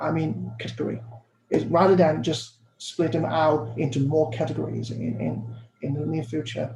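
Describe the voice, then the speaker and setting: At a moderate pace and medium pitch, a man speaks with lively intonation amid audible room echo. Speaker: academic presenter. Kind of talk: Q&A answer at academic symposium. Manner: halting, many repetitions and fillers.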